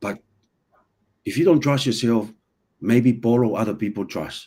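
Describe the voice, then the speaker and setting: In a very clean recording with a silent background, a man speaks at a medium pitch in a dark, mellow tone with ordinary pitch variation. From an island, non-native English region. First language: not English. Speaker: personal development guest. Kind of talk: casual podcast conversation. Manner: halting, many repetitions.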